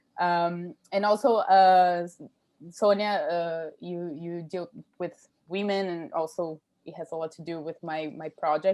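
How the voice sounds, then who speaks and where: On a very clean recording with a silent background, a woman with a Brazilian accent speaks fairly slowly in a dark, mellow tone, her fairly low voice keeping a fairly even intonation. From Brazil, São Paulo. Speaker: PhD student. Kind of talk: academic Q&A comment. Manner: halting.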